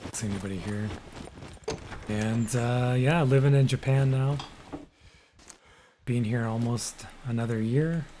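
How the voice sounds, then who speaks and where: A man with a Canadian accent and a medium-pitched voice, fairly slow and fairly even, with long, frequent pauses over noticeable background noise. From Canada. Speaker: gaming streamer. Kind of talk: casual live-stream chat. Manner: mumbling at times.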